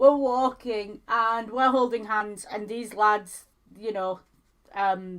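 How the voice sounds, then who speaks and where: A woman with a strong Yorkshire accent talks at a very slow pace, her pitch fairly high and her intonation fairly even. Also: big swings in loudness. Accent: thick Yorkshire. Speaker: streamer co-host. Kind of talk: casual chat.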